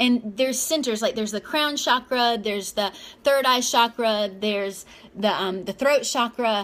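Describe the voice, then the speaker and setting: Speaking at a moderate pace, a woman sounds animated, her pitch high. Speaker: self-help vlogger. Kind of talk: casual motivational monologue.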